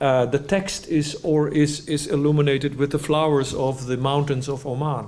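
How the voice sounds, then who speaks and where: In a room with audible echo, a man with a Dutch accent speaks in a fairly high voice with monotone, flat intonation. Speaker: type designer. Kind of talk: lecture. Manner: halting, with frequent restarts.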